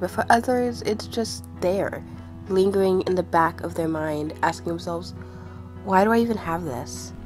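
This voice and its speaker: Moderate-paced female speech over background music. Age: 20s. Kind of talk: personal spoken essay on mental health.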